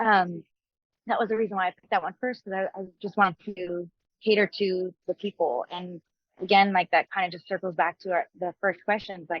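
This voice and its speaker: A woman with a Montreal accent speaks at a fairly quick pace in a medium pitch. Her intonation stays fairly even while her loudness swings widely. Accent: Canadian English, Montreal. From Canada, Montreal (Anglophone area), Quebec. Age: 30s. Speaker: country singer-songwriter. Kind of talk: interview.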